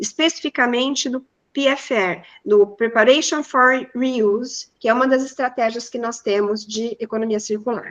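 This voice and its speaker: A woman talks in a high voice with fairly even intonation. Her pace is fairly slow. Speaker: professor. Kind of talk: lecture.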